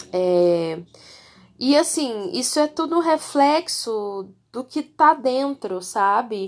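A woman talks at a very slow pace with a high pitch. Her pitch swings very widely. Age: 30s. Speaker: podcast host. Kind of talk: solo casual monologue. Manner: chatty, conversational.

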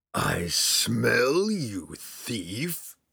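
In a put-on character voice, a man makes a rumbling sound at a medium pitch. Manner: purring; menacing.

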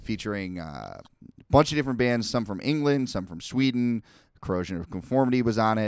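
On a very clean recording with a silent background, a man in a normal speaking voice of medium pitch uses lively intonation and big swings in loudness. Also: fairly quick pace. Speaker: podcast host. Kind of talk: casual chat. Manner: conversational, rambling.

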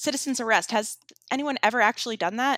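A woman talks at a fairly quick pace with fairly even intonation, her voice dry and close with no echo on a very clean recording with a silent background. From Florida. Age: 30s. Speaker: podcast co-host. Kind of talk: casual chat.

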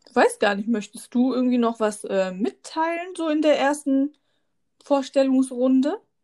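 This woman has a high voice with a dark, mellow tone. Her intonation is lively and her pace fairly slow. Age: 30s. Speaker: podcast co-host, mother. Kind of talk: casual chat.

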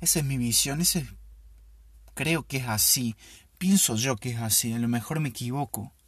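In a very clean recording with a silent background, a man speaks at a moderate pace with a medium pitch and ordinary pitch variation. His voice is somewhat breathy, with long, frequent pauses. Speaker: podcast host. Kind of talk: casual solo monologue.

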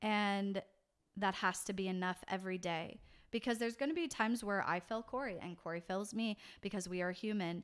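In a very clean recording with a silent background, a woman with an American accent and a plain, everyday voice talks at a fairly quick pace, her medium pitch showing ordinary variation. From California, US. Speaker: pastor. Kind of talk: casual interview chat.

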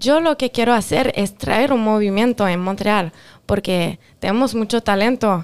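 Fairly high in pitch, a woman talks at a moderate pace with ordinary pitch variation. Her loudness stays very even. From Quebec, partly raised in Mendoza, Argentina. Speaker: singer. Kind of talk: interview.

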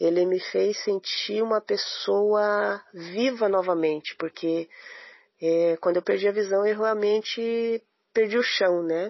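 This woman has an unremarkable speaking voice with ordinary pitch variation. She talks at a fairly slow pace. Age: 40s. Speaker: visually impaired runner. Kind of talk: testimony. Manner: emotional.

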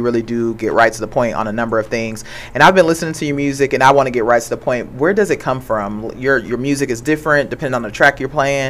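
The speech comes at a very fast pace, with noticeable background noise behind it. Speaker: radio co-host. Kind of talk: casual radio talk show. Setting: radio studio with video stream.

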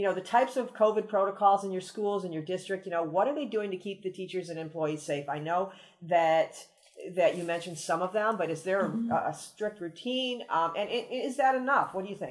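A woman talks fairly quickly at a medium pitch, with ordinary pitch variation. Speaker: podcast host and benefits consultant. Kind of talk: interview. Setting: outdoors.

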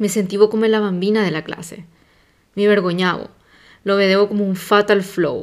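A woman speaks at a medium pitch in a Paraguayan accent. The recording is very clean with a silent background. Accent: Paraguayan Spanish accent in Italian. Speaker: podcaster. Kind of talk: personal monologue.

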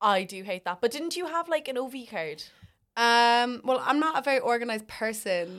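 Someone with an Irish accent speaks at a moderate pace with very wide pitch swings on a very clean recording with a silent background. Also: woman, high pitch for a woman. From Ireland. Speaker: university student. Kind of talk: casual chat.

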